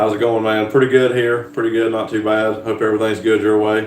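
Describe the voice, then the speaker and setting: In a strong Southern US accent, a man speaks at a fairly low pitch and fairly quick pace, with audible room echo and noticeable background noise. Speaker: farmer and YouTuber. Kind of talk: live stream chat.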